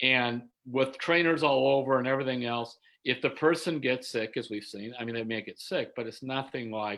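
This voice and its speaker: A man with an ordinary speaking voice, medium pitch, moderate pace and ordinary pitch variation. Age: 60s. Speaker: sports writer. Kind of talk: interview. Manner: casual, conversational.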